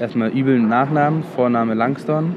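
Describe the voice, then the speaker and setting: Lively intonation from a man at medium pitch, with audible room echo and noticeable background noise. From London. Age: 20s. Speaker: actor. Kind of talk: casual chat.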